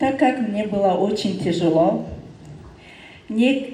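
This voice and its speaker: The woman talks at a very slow pace with a non-native accent and ordinary pitch variation. Noticeable background noise and audible room echo surround her. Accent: non-native Russian. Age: 30s. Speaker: direct sales business leader. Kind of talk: testimony speech. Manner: halting.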